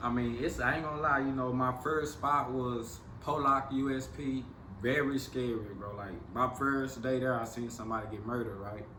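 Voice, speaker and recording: Noticeable background noise sits behind a man with an American accent. He talks at a moderate pace and medium pitch with fairly even intonation. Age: 40s. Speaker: former federal prisoner. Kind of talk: interview answer.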